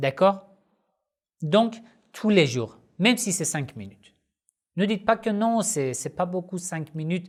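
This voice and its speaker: Someone with a non-native accent speaks on a very clean recording with a silent background. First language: not French (speaking French). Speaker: Shia Islamic religious teacher, YouTuber. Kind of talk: Q&A video monologue. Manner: halting, frequent hesitations.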